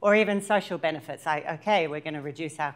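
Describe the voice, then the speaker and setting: With ordinary pitch variation, a woman talks at a very deep, low pitch. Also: very clean recording, silent background. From Australia, Sydney. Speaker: workshop presenter, sustainability consultant. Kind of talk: training workshop presentation.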